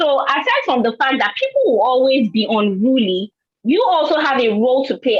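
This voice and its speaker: Fairly quick delivery with a dry, close sound and no echo. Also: woman. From Nigeria. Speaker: scientist and teacher. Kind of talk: panel discussion.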